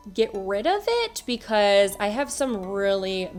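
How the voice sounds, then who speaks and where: Over music in the background, a woman speaks at a medium pitch with lively intonation. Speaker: beauty vlogger. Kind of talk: makeup tutorial voiceover. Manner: casual, chatty.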